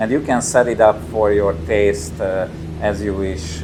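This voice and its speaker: With noticeable background noise and audible room echo, a man speaks at a very deep, low pitch and a fairly slow pace. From Hungary, Tatabánya. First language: Hungarian. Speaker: company representative demoing a motion simulator. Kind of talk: gameplay demo commentary. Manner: halting, many fillers and repetitions.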